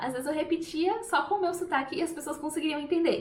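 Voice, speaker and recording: A woman with a Brazilian accent at a very fast pace, with audible room echo. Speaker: language teacher. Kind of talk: tutorial. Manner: casual, with hesitations.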